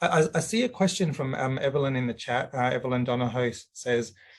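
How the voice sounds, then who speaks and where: Speaking at a fairly quick pace, a man with a medium-pitched, somewhat breathy voice uses ordinary pitch variation. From Greece. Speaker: webinar moderator. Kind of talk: webinar moderation.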